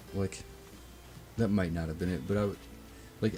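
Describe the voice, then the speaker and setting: A man speaks at a fairly low pitch with ordinary pitch variation while music plays in the background. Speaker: gaming streamer. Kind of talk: live gameplay stream. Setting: live stream.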